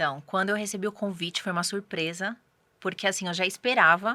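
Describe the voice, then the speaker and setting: Bright and sharp in tone, a woman speaks at medium pitch on a very clean recording with a silent background. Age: 30s. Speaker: guest author. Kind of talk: interview testimony.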